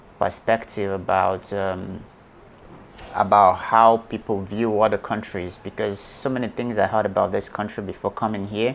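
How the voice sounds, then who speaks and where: This man's voice sits fairly low, and his intonation stays flat and monotone. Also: moderate pace. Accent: Nigerian. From Nigeria. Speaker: YouTuber and businessman. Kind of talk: interview answer.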